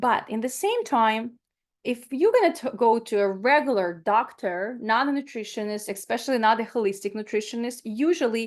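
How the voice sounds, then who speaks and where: In a Ukrainian accent, a woman talks in an animated tone. Her voice is fairly high, and the background is quiet. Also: ordinary pitch variation, moderate pace. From Ukraine. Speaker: plant-based nutritionist. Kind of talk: webinar talk.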